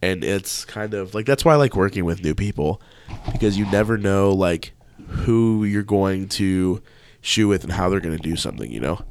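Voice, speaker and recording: A man talks at a moderate pace in a plain, everyday voice. His pitch is fairly low, with ordinary variation. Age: 20s. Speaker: videographer and photographer. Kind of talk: casual chat.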